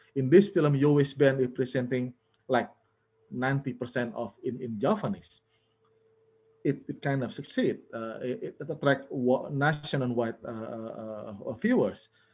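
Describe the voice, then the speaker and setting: At a fairly slow pace, a man with a Balinese accent speaks at a medium pitch with ordinary pitch variation and big swings in loudness. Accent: Indonesian (Balinese) accented English. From Bali, Indonesia. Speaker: film scholar, panelist. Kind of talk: webinar presentation. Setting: online webinar. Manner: halting, many fillers and repetitions.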